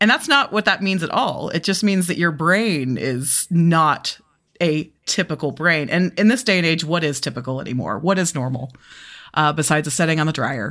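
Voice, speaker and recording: Against a quiet background, a woman with a normal speaking voice speaks at a moderate pace and fairly low pitch, with lively intonation. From US South, Birmingham, Alabama. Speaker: podcast host. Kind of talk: casual chat.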